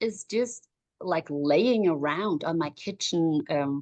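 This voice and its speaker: A woman with a German accent speaks at a fairly low pitch with very wide pitch swings, in a dry, close sound with no echo and a quiet background. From Germany. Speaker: life coach for moms. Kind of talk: interview.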